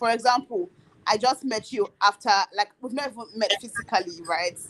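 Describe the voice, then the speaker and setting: With a Nigerian accent and an animated tone, a woman of fairly high pitch talks at a moderate pace with ordinary pitch variation, recorded dry and close with no echo. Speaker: YouTuber. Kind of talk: casual chat. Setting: live stream.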